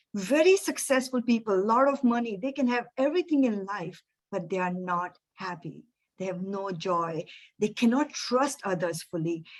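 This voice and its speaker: With lively intonation, a woman speaks in a normal speaking voice at a medium pitch. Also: moderate pace. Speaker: energy coach and speaker. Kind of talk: webinar presentation.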